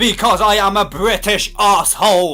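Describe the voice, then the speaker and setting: A man talks at a moderate pace in a Liverpool accent. Music plays in the background. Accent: Scouse. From British. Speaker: YouTuber answering comments. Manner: raises voice to be expressive, animated.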